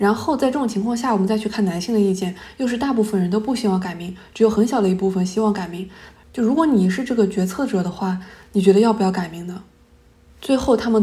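Room echo is audible as a woman speaks very fast at medium pitch with ordinary pitch variation. Her tone is dark and mellow and somewhat breathy. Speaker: podcast host, academic researcher. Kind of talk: solo podcast monologue.

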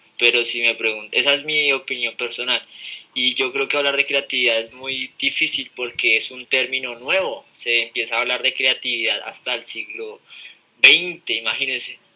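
A man's medium-pitched voice with fairly even intonation at a moderate pace, over noticeable background noise. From Colombia, Fusagasugá. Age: 20s. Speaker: podcast guest. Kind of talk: casual chat. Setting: live stream.

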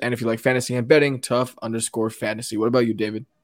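A medium-pitched man speaks at a very fast pace with monotone, flat intonation. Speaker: football podcast co-host. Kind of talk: casual sports chat.

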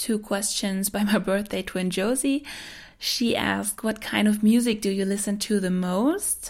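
On a very clean recording with a silent background, a woman talks at a moderate pace. Her voice is somewhat breathy and her intonation fairly even. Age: 20s. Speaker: podcast host. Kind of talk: casual monologue.

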